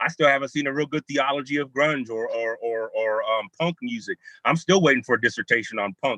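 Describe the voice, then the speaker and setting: A loud man with an American accent, a fairly high pitch, a bright, sharp tone, ordinary pitch variation and a fairly quick pace, in dry, close sound with no echo. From California. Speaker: theologian and hip hop scholar. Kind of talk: panel discussion over video call. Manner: animated. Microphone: bad internet connection.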